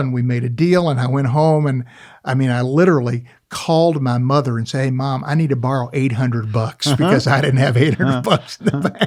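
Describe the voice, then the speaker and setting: A man with an unremarkable speaking voice talks at medium pitch, a moderate pace, and ordinary pitch variation. The recording is very clean, with a silent background. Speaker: auctioneer, antiques appraiser and television personality. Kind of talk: interview answer, telling an anecdote on a podcast. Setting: podcast booth in a studio. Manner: conversational, storytelling.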